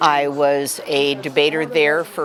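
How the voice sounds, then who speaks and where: A woman talks in a very deep, low pitch with an American accent. Noticeable background noise sits behind her voice. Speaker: retired English teacher. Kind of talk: casual interview. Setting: restaurant event.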